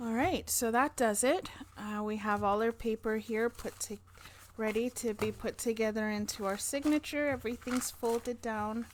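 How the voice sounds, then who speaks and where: A woman mumbles in a fairly high voice. Her intonation stays fairly even. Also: moderate pace. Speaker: crafting youtuber. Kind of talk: tutorial. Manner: mumbling.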